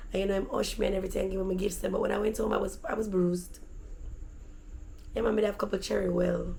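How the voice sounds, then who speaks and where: With a Jamaican accent, a woman talks very fast in an animated tone, leaving long, frequent pauses, amid noticeable background noise and audible room echo. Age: adult. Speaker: vlogger. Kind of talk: storytelling.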